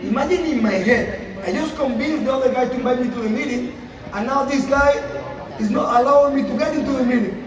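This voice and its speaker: A man's extremely high, animated voice at a very fast pace, with ordinary pitch variation, audible room echo and noticeable background noise. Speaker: network marketing speaker. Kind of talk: motivational talk.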